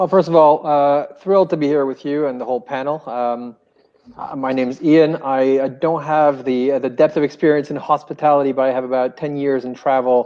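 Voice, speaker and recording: A man talks at a fairly quick pace with a French Canadian accent. His pitch sits fairly high, and his intonation stays fairly even. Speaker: hotel group commercial executive. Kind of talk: panel discussion. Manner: halting, many repeated words.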